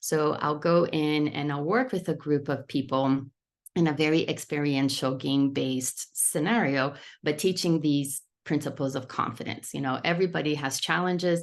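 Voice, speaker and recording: Over a quiet background, a woman talks at a very deep, low pitch with fairly even intonation. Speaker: children's fitness program founder and author. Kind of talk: product presentation. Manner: fast.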